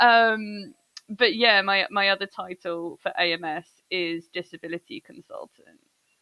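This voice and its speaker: A woman with an English accent talks at a fairly slow pace. Her loudness swings widely. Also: medium pitch for a woman, ordinary pitch variation. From England. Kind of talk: casual chat.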